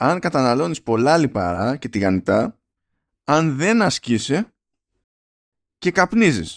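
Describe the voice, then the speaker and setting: With very wide pitch swings, a man speaks at a fairly slow pace against a quiet background. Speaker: podcast co-host. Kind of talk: casual chat.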